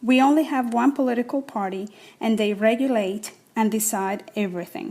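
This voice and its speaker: A woman with a Spanish accent, fairly high-pitched, with a dark, mellow tone, ordinary pitch variation and a moderate pace, on a very clean recording with a silent background. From Cuba (Havana). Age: 40s. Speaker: writer and actress reading personal essay. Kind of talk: reading aloud personal essay.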